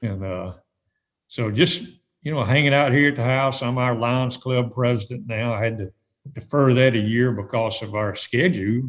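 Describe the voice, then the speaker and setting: This man has an unremarkable speaking voice, a medium pitch and a moderate pace. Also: ordinary pitch variation. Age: 60s. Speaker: retired tournament director. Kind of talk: podcast interview.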